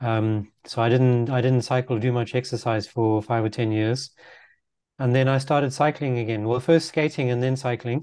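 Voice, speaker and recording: Against a quiet background, a man speaks at a moderate pace with a dark, mellow tone, medium pitch, and fairly even intonation. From Zimbabwe. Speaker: road safety advocate and YouTuber. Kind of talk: casual interview chat.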